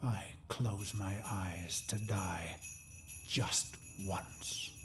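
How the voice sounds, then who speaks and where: Over clear background noise, a man puts on a character voice with a fairly low pitch, speaking at a very slow pace. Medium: video game. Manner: dramatic, reflective.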